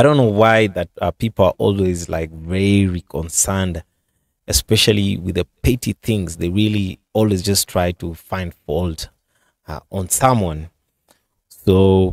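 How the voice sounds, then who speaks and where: Fairly slow speech with ordinary pitch variation, a dry sound with no echo and a quiet background. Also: man, very deep, low pitch for a man. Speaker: commentary channel host. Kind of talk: commentary. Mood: earnest, slightly defensive. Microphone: studio mic.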